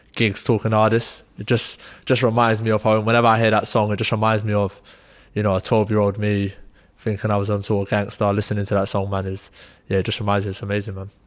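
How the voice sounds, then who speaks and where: Through a very clean recording with a silent background, a man with an East London accent talks very fast at a fairly low pitch in a monotone, flat intonation. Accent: a bit of East London. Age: 20s. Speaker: professional footballer. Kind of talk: panel discussion.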